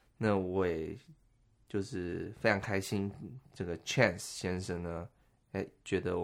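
A man speaks with a very deep, low pitch at a fairly slow pace. The recording is very clean, with a silent background. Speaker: podcast host. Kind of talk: casual chat.

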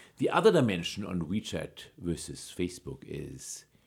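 A man's very deep, low voice with vocal fry, at a fairly slow pace. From Germany. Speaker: data scientist and author. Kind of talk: interview.

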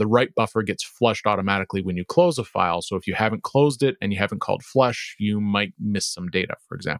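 Talking at a very fast pace, a man with a fairly low pitch is heard in a dry, close sound with no echo. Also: ordinary pitch variation. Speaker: programmer and podcast co-host. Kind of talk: casual technical discussion.

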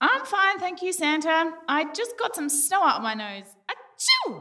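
A woman's put-on character voice, extremely high and bright, sharp in tone, with very wide pitch swings and a fairly slow pace.

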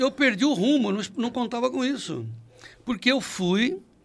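A man at a moderate pace, his pitch swinging very widely. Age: 70s. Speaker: agribusiness journalist, founder of news site. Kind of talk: interview conversation.

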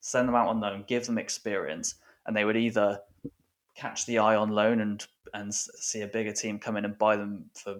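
A man with an English accent speaks in a fairly low, monotone voice with flat intonation at a moderate pace. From England. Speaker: football writer and author. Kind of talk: casual interview chat.

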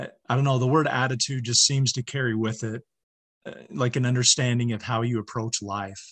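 At a moderate pace, a man speaks in an unremarkable speaking voice of medium pitch with fairly even intonation. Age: 40s. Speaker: social worker and mentor. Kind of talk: casual chat.

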